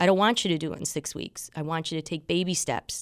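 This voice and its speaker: A woman's plain, everyday voice, fairly low in pitch, with ordinary pitch variation, on a very clean recording with a silent background. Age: 50s. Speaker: fitness instructor and bodybuilding competitor. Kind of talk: radio interview.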